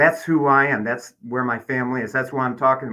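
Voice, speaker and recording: This man's voice sits fairly high in pitch with a bright, sharp tone. He keeps to a moderate pace. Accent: Midwestern American. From Michigan, Detroit area. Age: 60s. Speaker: political candidate. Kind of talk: interview.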